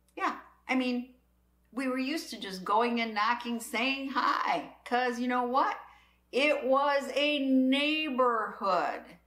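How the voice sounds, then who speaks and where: With an American accent, a woman talks at a very slow pace in a high pitch and a bright, sharp tone, her pitch varying in an ordinary way amid audible room echo. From US Midwest. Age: 60s. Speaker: prepping channel host. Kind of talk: casual monologue.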